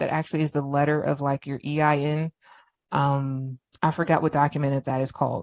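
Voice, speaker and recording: Speaking at a fairly quick pace, a woman sounds dry and close with no echo, over a quiet background. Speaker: business automation trainer. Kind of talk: live online training presentation. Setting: Facebook live video session. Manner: casual, off-the-cuff.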